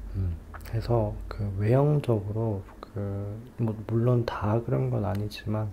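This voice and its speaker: A man talks in a relaxed tone at a fairly low pitch over noticeable background noise. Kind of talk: ASMR advice talk for sleep, soft spoken to listener. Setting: recorded at home at dawn with car noise outside. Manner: soft-spoken, slow, relaxed.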